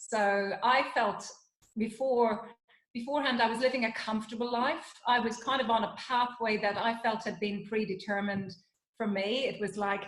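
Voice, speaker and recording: Fairly even intonation from a woman pitched fairly high, with audible room echo. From Ireland, Dublin. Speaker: psychologist and wellness consultant. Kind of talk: interview conversation.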